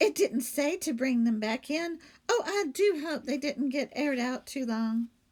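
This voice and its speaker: This put-on character voice moves at a moderate pace with lively intonation. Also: woman, high pitch for a woman. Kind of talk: bedtime story. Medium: read story. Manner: earnest, innocent.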